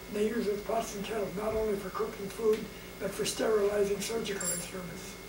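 A man speaks fairly quickly at a high pitch, his intonation fairly even, over clear background noise.

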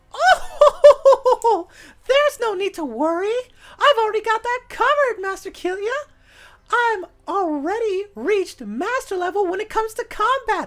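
An extremely high, female-sounding put-on character voice at a moderate pace. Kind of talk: casual gameplay commentary. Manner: haughty, boastful.

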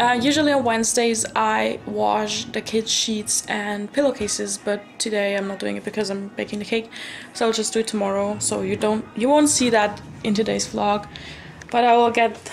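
Music in the background behind a woman at a moderate pace. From Austria. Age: young. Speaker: au pair. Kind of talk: casual vlog talk to camera. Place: home room. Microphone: phone near.

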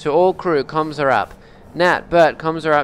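A man speaks over light background noise. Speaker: gamer streamer. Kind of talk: gameplay commentary, reading in-game text aloud.

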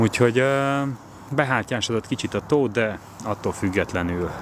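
A man talks at a fairly quick pace with ordinary pitch variation, his voice dry with no echo over noticeable background noise. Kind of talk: casual vlog chat. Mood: cheerful, relaxed. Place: waterside. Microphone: phone near.

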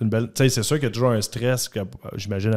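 A man talks at a very fast pace in a fairly low pitch, his tone dark and mellow. His intonation is fairly even, and the background is quiet. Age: 30s. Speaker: mortgage specialist, former junior hockey player; guest. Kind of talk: casual interview chat. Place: studio. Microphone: studio mic.

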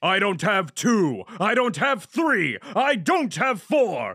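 Using a cartoonish character voice, a man talks very slowly at a high pitch.

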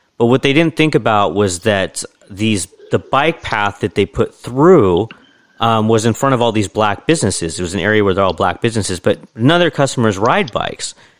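A man with a normal speaking voice, fairly low-pitched, talks at a fairly quick pace in a dry, close sound with no echo. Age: 40s. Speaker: podcast host. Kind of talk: interview.

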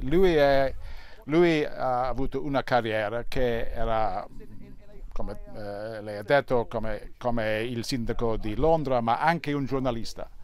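With an English accent, a man speaks at a very slow pace. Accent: English-accented Italian. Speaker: newspaper columnist. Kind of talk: TV interview. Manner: halting, hesitant.

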